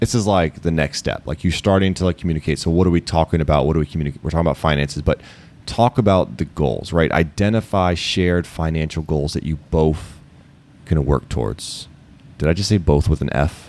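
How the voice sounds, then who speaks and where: In a slight Baltimore accent, a man speaks with a very deep, low pitch. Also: ordinary pitch variation, fairly quick pace. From Baltimore, US. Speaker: educator, podcast co-host. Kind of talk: casual chat.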